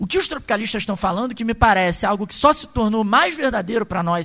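A man with lively intonation. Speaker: university professor. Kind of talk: lecture. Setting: university auditorium with audience.

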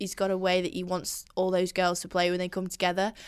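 A woman is speaking. She has a northern English accent. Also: very clean recording, silent background. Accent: mild northern English. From Yorkshire, northern England. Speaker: podcast host. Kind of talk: casual banter chat. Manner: jokey, animated.

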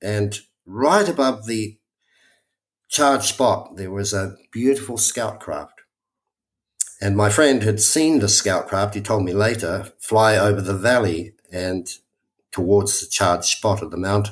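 A man with a New Zealand accent speaks at a fairly slow pace in a fairly low pitch, with ordinary pitch variation and long, frequent pauses. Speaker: spiritual workshop leader. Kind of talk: testimony. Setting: remote call.

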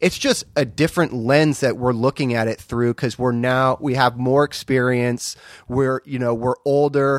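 Recorded very cleanly against a silent background with a dry, close sound and no echo, a man speaks at medium pitch in monotone, flat intonation. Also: moderate pace. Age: 30s. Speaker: podcast co-host and dad. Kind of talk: casual chat. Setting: garage.

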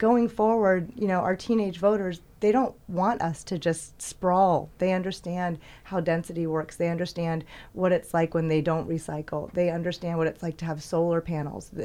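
A woman with an American accent speaks in a dark, mellow tone at a fairly low pitch. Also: quiet background. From US South. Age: 50s. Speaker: city council candidate. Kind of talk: interview. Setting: studio.

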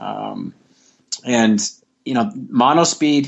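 A man is speaking. He has an American accent. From United States. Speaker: triathlon and swim coach. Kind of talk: podcast interview. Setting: remote call.

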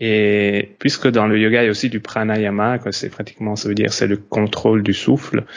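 Moderate pace, monotone, flat intonation, and hardly any pauses. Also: man, fairly low pitch for a man. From Belgium / Italy. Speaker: yoga and breathwork teacher. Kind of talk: casual conversation.

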